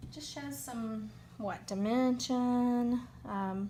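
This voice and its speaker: Noticeable background noise and audible room echo surround a voice with a Southern US accent. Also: woman. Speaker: crafting demonstrator. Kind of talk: unscripted crafting tutorial. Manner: casual, hesitant with many fillers.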